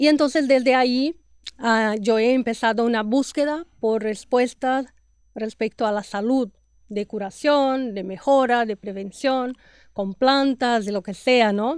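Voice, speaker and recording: In a Brazilian accent, a woman with a high pitch talks fairly slowly with ordinary pitch variation. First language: Portuguese (speaking Spanish). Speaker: podcast host, health and nutrition professional. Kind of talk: interview podcast.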